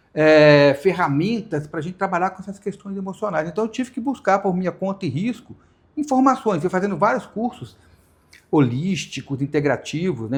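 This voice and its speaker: A man talks fairly quickly, his pitch swinging very widely. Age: 60s. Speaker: hypnotherapist. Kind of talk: podcast interview. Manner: halting.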